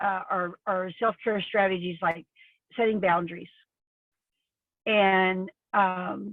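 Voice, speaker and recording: A woman at a medium pitch, speaking at a very slow pace with fairly even intonation. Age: 60s. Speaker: author. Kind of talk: interview. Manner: halting.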